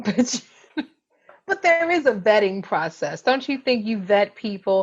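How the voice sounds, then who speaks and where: A woman talks at a fairly slow pace. Her fairly high voice swings very widely in pitch. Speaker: podcast co-host; therapist. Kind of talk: casual chat.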